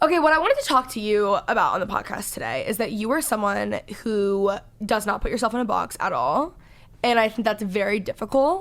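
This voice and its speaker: A woman's fairly high voice with an American accent, lively in intonation, at a fairly quick pace. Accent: Valley Girl accent, says y'all. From Texas, Dallas. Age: 20s. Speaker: podcast host. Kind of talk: casual chat. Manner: loud.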